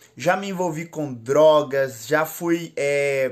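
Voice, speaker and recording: A man against a quiet background. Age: 20s. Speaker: former drug dealer giving testimony. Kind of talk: testimony. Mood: calm, grateful, smiling. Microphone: phone near.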